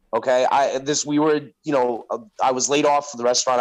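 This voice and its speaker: With an American accent, a man talks in an ordinary speaking voice that sits fairly high in pitch. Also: very clean recording, silent background. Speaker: podcaster. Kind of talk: casual chat.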